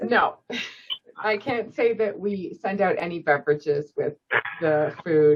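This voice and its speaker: Speaking at a fairly slow pace with long, frequent pauses, a woman uses lively intonation in a fairly low voice. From Canada, Scarborough, Ontario. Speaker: volunteer coordinator at a seniors' charity. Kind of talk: casual Q&A at a club meeting.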